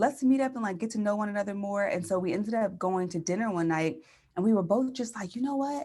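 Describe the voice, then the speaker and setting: Here a woman speaks very fast at medium pitch, with ordinary pitch variation. Her tone is dark and mellow, and somewhat breathy. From Philadelphia area, partly raised in San Diego. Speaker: podcaster and brand strategist. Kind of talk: interview.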